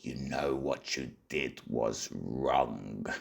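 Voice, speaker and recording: A man performs a put-on character voice. It is raspy, with a very deep, low pitch. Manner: menacing, scolding.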